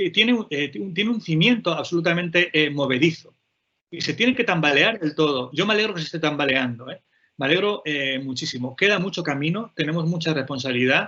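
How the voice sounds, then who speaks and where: Lively, fairly quick speech from a man with a fairly high pitch. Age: 40s. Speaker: playwright, poet and teacher. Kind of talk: panel talk. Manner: fast; halting.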